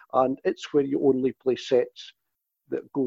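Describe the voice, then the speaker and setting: A man's voice of medium pitch has a dark, mellow tone, heard in a dry, close recording with no echo. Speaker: tennis enthusiast, inventor of a scoring format. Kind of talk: interview. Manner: halting, repeats words.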